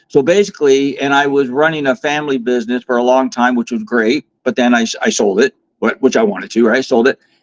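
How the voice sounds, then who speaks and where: Dry and close with no echo, a man's medium-pitched voice races at a very fast pace with lively intonation and hardly any pauses. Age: 50s. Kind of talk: interview. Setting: live online stream.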